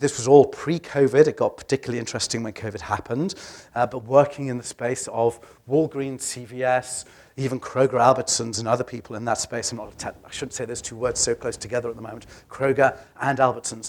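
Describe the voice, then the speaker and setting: At a very fast pace, a voice with a British accent keeps fairly even intonation while swinging widely in loudness. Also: man, medium pitch for a man. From UK. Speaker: healthcare tech advisor. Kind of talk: conference presentation. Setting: stage with audience. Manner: hesitant with fillers.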